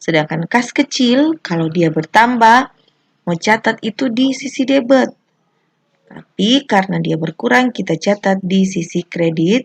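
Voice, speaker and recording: A woman with a Manado accent, somewhat breathy, at a fairly slow pace, with very wide pitch swings. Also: medium pitch for a woman. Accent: Manado Malay dialect. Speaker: accounting teacher. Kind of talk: educational tutorial explanation.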